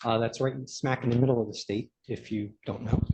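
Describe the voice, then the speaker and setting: In a Brooklyn accent, a man speaks with a dark, mellow tone. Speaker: expert planner. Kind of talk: expert testimony. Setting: public meeting room. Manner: hesitant fillers.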